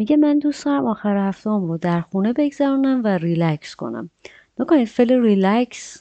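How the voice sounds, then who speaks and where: Her pitch moves in very wide swings. The woman keeps a moderate pace. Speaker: English teacher. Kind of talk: tutorial.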